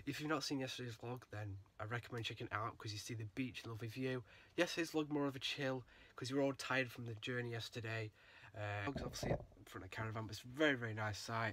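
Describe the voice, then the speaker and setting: Over noticeable background noise, a man speaks at a very fast pace with fairly even intonation. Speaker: vlogger. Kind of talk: casual vlog chat. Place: home room. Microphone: phone near.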